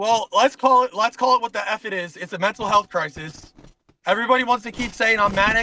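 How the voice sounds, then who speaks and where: In a dry, close recording with no echo, a man projects a high, raised voice in an animated tone with ordinary pitch variation. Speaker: corrections officer. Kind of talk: casual chat. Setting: in a car. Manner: fast.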